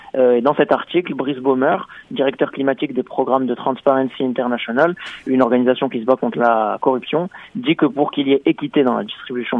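The man speaks very quickly. His intonation stays fairly even. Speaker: radio correspondent. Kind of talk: radio report.

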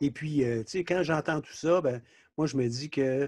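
A man speaks at a moderate pace in a fairly high pitch, his tone dark and mellow. The sound is dry and close with no echo, over a quiet background. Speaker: podcast host. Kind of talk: interview.

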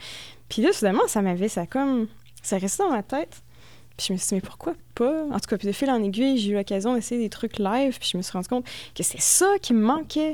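Lively intonation at a fairly quick pace on a very clean recording with a silent background. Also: woman, fairly high pitch for a woman. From Quebec, Thetford Mines. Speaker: experimental musician. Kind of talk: casual radio interview.

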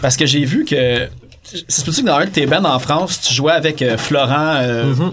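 With a Quebec accent, a man speaks at a moderate pace and fairly high pitch, his loudness very even, over noticeable background noise. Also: ordinary pitch variation. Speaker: podcast host. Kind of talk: casual interview.

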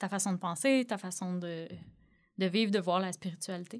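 Ordinary pitch variation at a fairly slow pace, on a very clean recording with a silent background. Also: woman. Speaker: podcast host. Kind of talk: interview.

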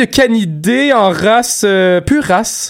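The man's high-pitched voice moves through very wide pitch swings. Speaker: podcast co-host. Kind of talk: casual chat.

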